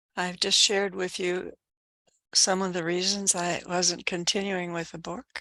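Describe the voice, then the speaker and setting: The background is quiet as a woman speaks in a bright, sharp tone. Her intonation stays monotone and flat. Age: 80s+. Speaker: book club participant. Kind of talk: book club discussion.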